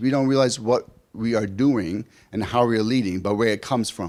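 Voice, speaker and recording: A man with a New York accent in an animated tone, on a very clean recording with a silent background. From New York City. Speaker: conference speaker, practice owner. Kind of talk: conference talk with personal stories.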